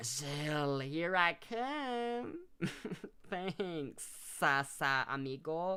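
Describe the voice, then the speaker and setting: The speaker uses a put-on character voice at a middle pitch. The pace is very slow. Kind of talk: casual, friendly.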